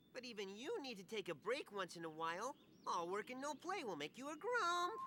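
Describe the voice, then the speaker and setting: Over clear background noise, a put-on character voice talks at a fairly quick pace with a fairly high pitch and very wide pitch swings. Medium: video game. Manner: chatty, bratty, excitable.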